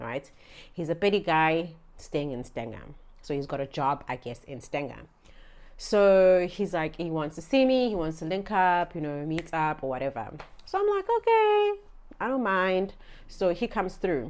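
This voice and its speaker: A woman with a Zulu accent, fairly low in pitch, lively intonation, moderate pace, quiet background. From South Africa, Durban area (KwaZulu-Natal). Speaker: vlogger. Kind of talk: storytime vlog. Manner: casual, chatty.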